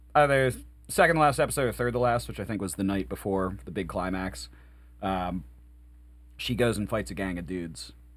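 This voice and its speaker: Recorded very cleanly over a silent background, a man speaks at a moderate pace in a very deep, low voice with vocal fry and very wide pitch swings. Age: 30s. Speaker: podcast host and band musician. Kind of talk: casual chat.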